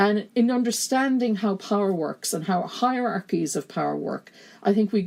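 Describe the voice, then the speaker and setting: Lively intonation at a moderate pace, in a Kerry accent. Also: woman. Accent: broad Kerry. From Ireland, County Kerry. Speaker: gender studies lecturer and feminist activist. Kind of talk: podcast interview conversation.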